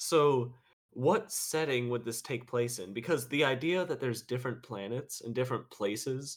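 This man has an ordinary speaking voice, with a medium pitch, ordinary pitch variation and a moderate pace. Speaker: podcast host. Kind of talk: casual chat.

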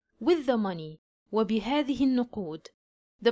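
With an Egyptian accent, a woman speaks at a fairly high pitch with very wide pitch swings. The sound is dry and close, with no echo. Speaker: English teacher. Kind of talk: language lesson with reading aloud. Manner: slow, clear enunciation.

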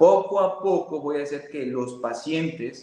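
A man with a normal speaking voice, fairly high in pitch, with ordinary pitch variation. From Mexico, Veracruz. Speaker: physiotherapist. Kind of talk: interview with presentation.

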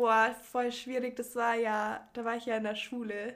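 A woman's fairly high pitch in a monotone, flat intonation. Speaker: podcast guest. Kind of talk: casual chat.

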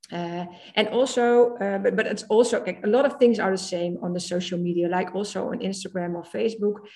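With a Dutch accent, a woman speaks at a fairly quick pace and medium pitch. Her tone is dark and mellow, and her pitch varies in an ordinary way. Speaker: social media trainer. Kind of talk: casual chat. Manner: halting.

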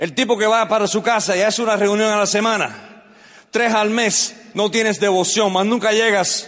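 An animated, high-pitched male voice at a moderate pace with very even loudness. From Cuban family, born in the US. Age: 60s. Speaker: business motivational speaker. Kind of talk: motivational speech. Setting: stage with audience.

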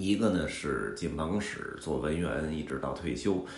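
A man with a Beijing accent speaks at a fairly slow pace in a very deep, low voice with vocal fry. His intonation is lively, and audible room echo surrounds him. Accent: Beijing Mandarin, erhua. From Beijing, China. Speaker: podcast host, travel storyteller. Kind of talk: casual monologue. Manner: filler-heavy, conversational.

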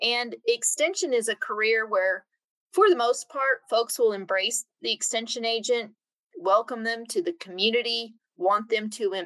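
At a fairly slow pace, a woman with a Midwestern US accent speaks in a fairly high pitch with a bright, sharp tone and lively intonation, in a dry, close sound with no echo. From Kansas (Emporia). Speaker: extension regional director. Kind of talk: casual interview.

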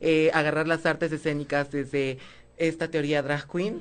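The speech comes at a moderate pace. The background is quiet. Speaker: drag performer. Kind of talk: casual chat.

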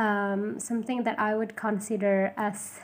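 In an Indonesian accent, a woman speaks at a fairly high pitch with fairly even intonation. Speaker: podcaster. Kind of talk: solo podcast intro monologue. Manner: halting, with fillers and self-corrections.

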